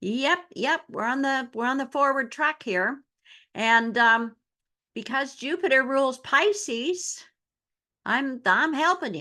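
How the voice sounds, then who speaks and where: A woman uses a raised, projected voice at a high pitch, with a bright, sharp tone, lively intonation and a very slow pace. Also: quiet background. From Newfoundland, Canada. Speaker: astrologer. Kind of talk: astrology talk to camera. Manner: casual, conversational.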